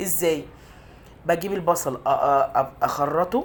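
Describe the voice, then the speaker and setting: A woman with an Egyptian accent speaks in a fairly low pitch with ordinary pitch variation. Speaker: cooking channel host. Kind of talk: cooking tutorial. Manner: halting.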